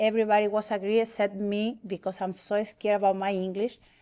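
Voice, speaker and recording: In a Spanish accent, a woman talks at a medium pitch and a fairly quick pace. Her intonation is monotone and flat, and the recording is very clean with a silent background. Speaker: church member. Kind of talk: testimony. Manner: halting.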